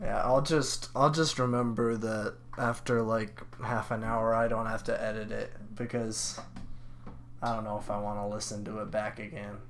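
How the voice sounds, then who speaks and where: The room echo is audible here. A man speaks at a medium pitch. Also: moderate pace. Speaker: podcast co-host. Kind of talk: casual chat. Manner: halting.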